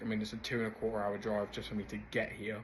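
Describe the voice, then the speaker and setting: This is a man with an English accent. He talks at a very fast pace. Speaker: business co-founder vlogger. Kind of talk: casual vlog update.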